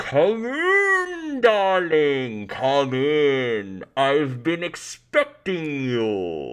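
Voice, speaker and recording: In a put-on character voice at a low-to-middle pitch, the speaker talks at a very slow pace with hardly any pauses. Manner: inviting, sinister.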